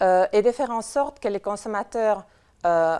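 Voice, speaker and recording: A woman with a non-native accent speaks at a fairly slow pace, her pitch fairly high and its variation ordinary. Her tone is dark and mellow, and the recording is very clean with a silent background. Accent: foreign accent in French. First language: not French (speaking French). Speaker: conference speaker from a nutrition information organization. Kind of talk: conference talk. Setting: conference with audience. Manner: hesitant, many fillers.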